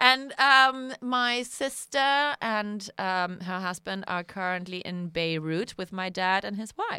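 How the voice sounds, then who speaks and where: Speaking very slowly, a woman uses a medium pitch and a bright, sharp tone. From Germany. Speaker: podcast co-host. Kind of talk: casual chat.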